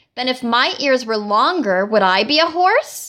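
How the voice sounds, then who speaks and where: Using a put-on character voice, a woman speaks high with very wide pitch swings at a moderate pace. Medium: read story.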